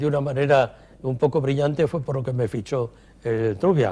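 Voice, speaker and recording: This man's voice has a dark, mellow tone and sits at a medium pitch. He sounds somewhat breathy and keeps a moderate pace. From Cantabria, Spain (Torrelavega). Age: 80s+. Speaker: retired chemist and company executive. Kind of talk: interview.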